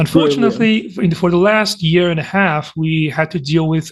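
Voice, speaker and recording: At a moderate pace with hardly any pauses, the speaker talks with ordinary pitch variation. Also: man. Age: 20s. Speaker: university student. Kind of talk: casual interview chat. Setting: online video call.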